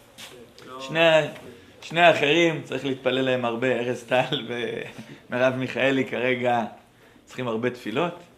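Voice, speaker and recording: Against noticeable background noise and audible room echo, a man of medium pitch speaks at a fairly slow pace with big swings in loudness. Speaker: rabbi and teacher at a pre-army academy. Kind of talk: lecture. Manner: animated.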